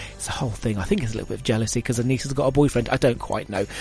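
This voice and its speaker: Music playing behind a male speaker, his pitch varying in an ordinary way. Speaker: radio DJ. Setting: radio studio. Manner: upbeat, chatty, warmly conversational, self-deprecating, addressing listeners directly.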